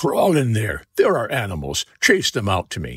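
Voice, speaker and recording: A man does a put-on character voice at a moderate pace. The sound is dry and close, with no echo. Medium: read story.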